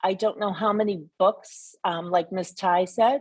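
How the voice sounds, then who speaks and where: A woman speaks at a fairly slow pace with an American accent, in an unremarkable speaking voice. Her pitch is medium and her intonation fairly even. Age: 60s. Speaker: school committee candidate. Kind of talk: candidate forum answer.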